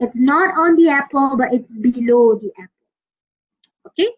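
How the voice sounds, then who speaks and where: In a Malaysian accent, a woman with a high pitch speaks at a moderate pace with lively intonation. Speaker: university English lecturer. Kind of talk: lecture. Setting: online class.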